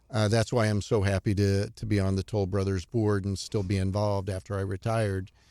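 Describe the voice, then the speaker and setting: A man with an American accent speaks in a monotone, flat intonation with fairly low pitch and a dark, mellow tone, hardly pausing. The recording is very clean, with a silent background. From US Midwest, Cape Girardeau, Missouri. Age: 60s. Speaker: retired Wall Street housing analyst. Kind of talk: podcast interview.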